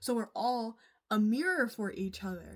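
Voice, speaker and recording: On a very clean recording with a silent background, a woman speaks at a medium pitch, somewhat breathy. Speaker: vlogger. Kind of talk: casual monologue.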